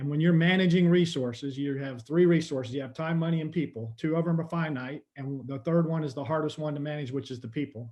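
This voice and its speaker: Speaking at a very fast pace with hardly any pauses, a man uses a fairly high pitch. His voice is somewhat breathy and his intonation fairly even. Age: 60s. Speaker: tourism marketing executive. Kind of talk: webinar panel discussion. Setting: video call.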